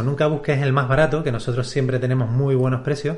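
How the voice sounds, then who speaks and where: A somewhat breathy man with a fairly high pitch talks at a very fast pace. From Canary Islands, Spain. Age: 30s. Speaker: publishing company CEO. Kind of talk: interview.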